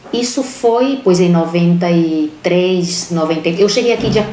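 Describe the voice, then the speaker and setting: Noticeable noise sits in the background, and room echo is audible. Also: woman. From Brazil, Aracaju, Sergipe. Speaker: lawyer, former police chief. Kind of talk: interview testimony. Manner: halting.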